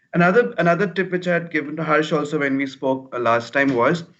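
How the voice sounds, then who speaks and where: Pitched fairly high, a man talks at a fairly quick pace with ordinary pitch variation. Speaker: career coach. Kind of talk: webinar talk. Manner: fast when nervous.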